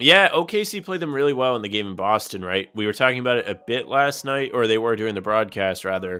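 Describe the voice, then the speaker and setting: The man's pace is very fast, with hardly any pauses. His medium pitch carries lively intonation. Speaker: podcast co-host. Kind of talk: casual sports podcast talk.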